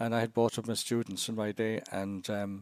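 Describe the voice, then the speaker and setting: A man speaks with an Irish accent. His pace is fairly quick. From Ireland (Cashel, Co. Tipperary). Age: 70s. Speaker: missionary priest. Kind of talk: podcast interview. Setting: podcast. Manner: halting, many restarts.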